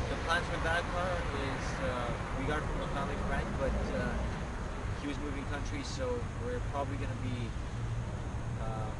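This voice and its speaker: A man talks fairly fast amid loud background noise, the sound dry without any echo. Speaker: car channel co-host. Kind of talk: casual vlog chat. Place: street. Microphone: camera far.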